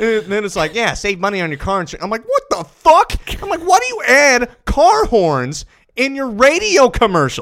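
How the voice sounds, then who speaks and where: A loud man's voice at an extremely high pitch, with very wide pitch swings. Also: moderate pace. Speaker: football podcast host. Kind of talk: casual chat. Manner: animated.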